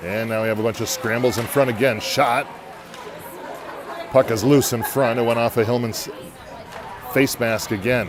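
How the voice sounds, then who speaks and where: Amid crowd noise and audible room echo, a man speaks at a moderate pace with fairly even intonation and long, frequent pauses. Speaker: amateur hockey play-by-play commentator. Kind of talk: live commentary. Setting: in the bleachers at an ice rink. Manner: quiet, golf-style low voice.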